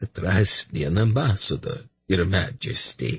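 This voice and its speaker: A man performs a put-on character voice that is raspy and shaky, fairly low in pitch with very wide pitch swings. He speaks at a fairly slow pace in a dry, close sound with no echo. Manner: formal, announcing.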